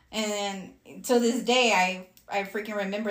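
Against noticeable background noise, a woman of medium pitch speaks in a monotone with flat intonation. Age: 30s. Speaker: podcast co-host. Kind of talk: casual chat.

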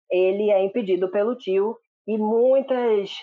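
A man speaks in a high pitch. His pitch varies in an ordinary way. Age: 20s. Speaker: drama reviewer, social media page owner. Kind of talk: casual chat.

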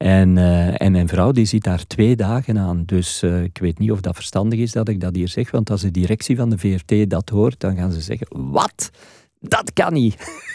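At a moderate pace, a man speaks in a very deep, low pitch with a dark, mellow tone and ordinary pitch variation, captured in a very clean recording with a silent background. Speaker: radio presenter. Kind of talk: interview.

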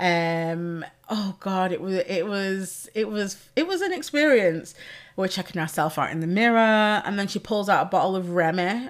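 Speaking in a Mancunian accent, a woman uses an animated tone at a medium pitch, a moderate pace and ordinary pitch variation. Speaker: podcast host and pole dance instructor. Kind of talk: casual solo chat. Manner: loud.

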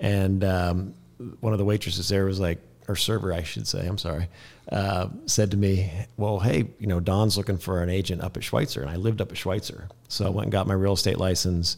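A man speaks with an American accent and a very deep, low pitch. His intonation stays fairly even. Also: fairly quick pace. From Kansas. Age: 50s. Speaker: real estate broker. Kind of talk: interview. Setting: studio.

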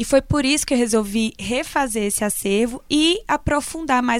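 Moving at a moderate pace, a woman speaks with a high pitch. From Brazil, Minas Gerais (Vale do Jequitinhonha). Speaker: radio presenter. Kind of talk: interview.

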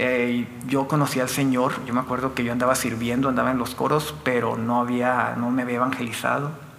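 A man with a medium-pitched voice talks at a fairly quick pace, with noticeable background noise and audible echo in the room. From Mexico, Chihuahua (Delicias). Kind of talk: testimony.

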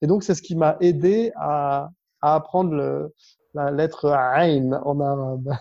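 Very slowly, a man with a fairly high voice and a dark, mellow tone speaks with ordinary pitch variation. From northern France, Lille. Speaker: business development manager and public speaking coach. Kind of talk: interview.

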